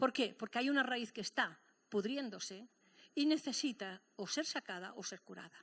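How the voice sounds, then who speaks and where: A woman with a Catalan accent speaks at a high pitch and a moderate pace. Her tone is animated and her intonation lively. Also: very clean recording, silent background. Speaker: pastor. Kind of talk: sermon.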